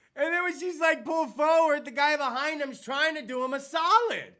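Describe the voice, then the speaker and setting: A man with an American accent speaks in a raised, projected voice. His tone is animated. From US South. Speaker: podcast host. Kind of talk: casual chat.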